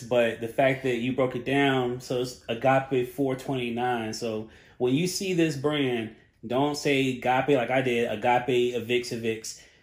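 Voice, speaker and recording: Here a man speaks at a medium pitch with a North Carolina accent. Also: fairly slow pace. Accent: Southern US (North Carolina). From Charlotte, North Carolina. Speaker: podcast producer and host. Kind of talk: casual interview chat. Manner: lighthearted, upbeat.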